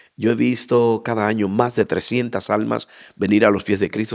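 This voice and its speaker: A man speaks with vocal fry at a fairly low pitch. The background is quiet. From Dominican Republic, Santo Domingo and Bonao; Dominican Republic. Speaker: interview guest. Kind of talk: interview testimony. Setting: church association facility. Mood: animated, heartfelt testimony. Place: hall. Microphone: handheld.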